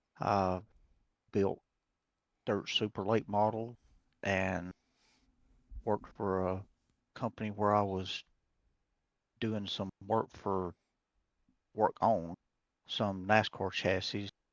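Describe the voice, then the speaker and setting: Speaking at a very slow pace with long, frequent pauses, a man keeps a monotone, flat intonation in a fairly low pitch. The sound is dry and close with no echo, and the background is quiet. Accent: Alabama. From US South, Alabama. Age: 60s. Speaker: race car builder. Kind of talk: casual interview chat.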